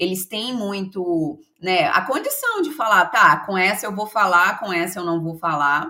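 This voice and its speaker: A woman's bright, sharp voice at a medium pitch and a moderate pace. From Brazil, Minas Gerais (Belo Horizonte). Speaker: HR consultant and mentor. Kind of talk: podcast interview.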